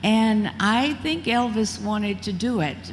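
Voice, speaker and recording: With an American accent, a woman speaks in a somewhat breathy voice at a medium pitch, with audible room echo. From Mississippi, US South. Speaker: former beauty queen and actress. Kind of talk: interview on stage. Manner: talkative.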